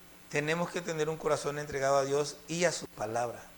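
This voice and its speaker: Audible room echo surrounds a man's fairly high voice. He speaks at a moderate pace with ordinary pitch variation. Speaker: preacher. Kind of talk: sermon.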